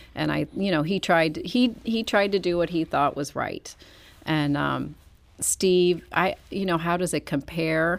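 In a Midwestern American accent, a woman speaks at a fairly slow pace with ordinary pitch variation on a very clean recording with a silent background. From St. Louis County, Missouri. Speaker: county councilwoman. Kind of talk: interview. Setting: studio.

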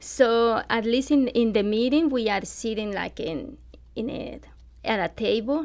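A woman speaks fairly slowly at a fairly high pitch, with a Colombian accent. The recording is very clean, with a silent background. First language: Spanish. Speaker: nonprofit volunteer. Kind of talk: radio interview. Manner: halting.

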